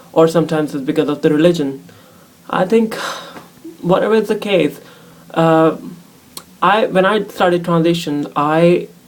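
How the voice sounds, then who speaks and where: A woman's fairly low voice at a moderate pace, with ordinary pitch variation, long and frequent pauses, and noticeable background noise. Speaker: transgender vlogger. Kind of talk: casual chat. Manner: halting.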